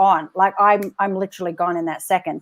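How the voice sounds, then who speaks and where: A woman with an American accent, on a very clean recording with a silent background. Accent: Australian, fading toward American. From Australia. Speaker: live show host. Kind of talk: live interview chat. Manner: animated.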